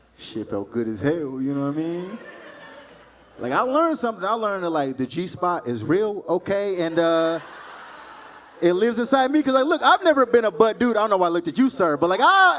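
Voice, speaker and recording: A high-pitched, animated man at a fairly quick pace, his pitch swinging very widely amid noticeable background noise. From Texas. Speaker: stand-up comedian. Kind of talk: stand-up. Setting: stage with audience.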